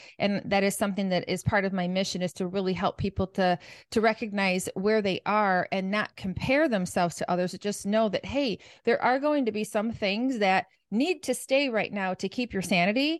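A woman with a normal speaking voice talks at a moderate pace and medium pitch with ordinary pitch variation, the sound dry and close with no echo over a quiet background. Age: 50s. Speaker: nutrition and mindset coach. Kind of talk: podcast interview.

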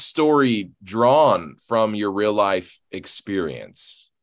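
A man's voice over a quiet background. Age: 30s. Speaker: podcast host and horror author. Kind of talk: casual interview. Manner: halting.

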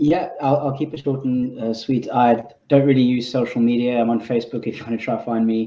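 In a British accent, a man speaks with monotone, flat intonation. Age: 30s. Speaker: panellist. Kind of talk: panel discussion. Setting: video call.

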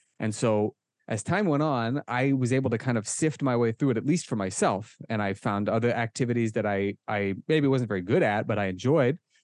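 In a Midwestern US accent, a man speaks at a fairly quick pace with hardly any pauses, medium pitch, and ordinary pitch variation. The sound is dry and close with no echo over a quiet background. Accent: General American (Midwestern). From US Midwest, Omaha, Nebraska. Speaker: kettlebell instructor. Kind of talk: interview. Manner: casual.

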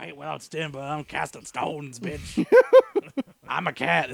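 A put-on character voice with a low-to-middle pitch moves along at a moderate pace. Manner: sassy, fierce.

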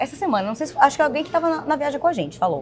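Noticeable background noise beneath a woman speaking, her pitch swinging very widely. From Bahia, Brazil. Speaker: podcast co-host, entrepreneur. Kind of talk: casual chat.

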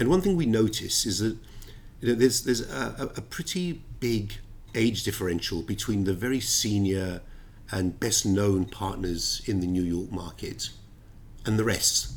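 A man with a London accent, vocal fry and ordinary pitch variation. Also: fairly low pitch for a man, moderate pace. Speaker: ship finance lawyer. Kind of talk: interview.

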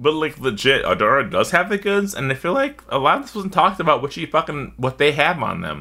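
Fairly high-pitched and bright, sharp in tone, a man talks at a fairly quick pace with lively intonation, vocal fry and hardly any pauses. The recording is very clean, with a silent background. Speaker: podcast host. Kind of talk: casual chat. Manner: animated, laughs often.

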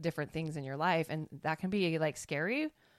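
The speaker has a plain, everyday voice, with fairly even intonation at a moderate pace. The recording is very clean, with a silent background. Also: woman. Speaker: podcast host. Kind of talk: casual conversation.

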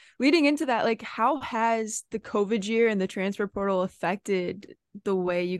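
A woman speaks at a moderate pace and medium pitch, in a normal speaking voice with ordinary pitch variation. The sound is dry and close with no echo, over a quiet background. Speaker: podcast co-host and college soccer player. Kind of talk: casual chat.

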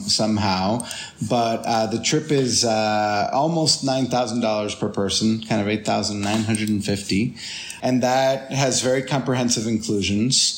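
There is noticeable background noise. A man speaks at a moderate pace with fairly even intonation. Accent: Spanish. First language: Spanish. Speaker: tour guide and photographer. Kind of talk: casual interview. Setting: video call.

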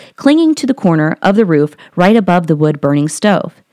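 Recorded very cleanly against a silent background with a dry, close sound and no echo, a woman with an American accent speaks at a fairly quick pace and medium pitch in an animated, enthusiastic tone, her pitch swinging very widely. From Columbus, Ohio. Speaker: podcast host. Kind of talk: ghost story telling, reading a listener's tale aloud. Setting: home recording, audio only.

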